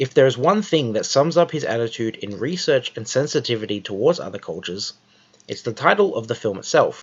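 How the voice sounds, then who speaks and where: With an Australian accent, a man of medium pitch talks at a fairly quick pace using lively intonation. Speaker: video essayist. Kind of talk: scripted narration. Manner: formal.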